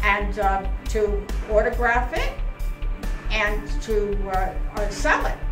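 Clear music plays behind a woman speaking at a very slow pace. Her pauses are long and frequent. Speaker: motorcyclist and author. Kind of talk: casual announcement to camera. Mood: cheerful, proud. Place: shop. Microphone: phone near.

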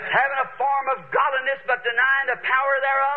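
A man's extremely high-pitched voice with fairly even intonation. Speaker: preacher. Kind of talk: sermon preaching to a congregation. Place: church.

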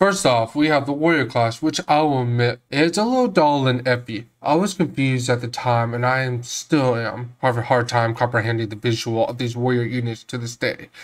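On a very clean recording with a silent background, a man with an ordinary speaking voice talks fairly quickly at a medium pitch, with ordinary pitch variation and hardly any pauses. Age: 20s. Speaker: video game reviewer. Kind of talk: scripted narration.

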